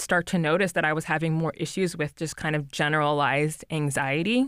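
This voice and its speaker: The recording is very clean, with a silent background and a dry, close sound with no echo. A woman with an unremarkable speaking voice talks at a fairly low pitch with fairly even intonation. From New Jersey. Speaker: physician, preventive medicine resident. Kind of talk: interview about personal mental health.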